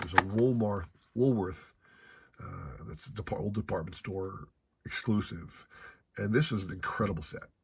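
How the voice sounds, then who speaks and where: A man with an American accent, somewhat breathy, fairly low in pitch, at a moderate pace. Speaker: card collecting YouTuber. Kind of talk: casual hobby vlog. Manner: conversational, some hesitations.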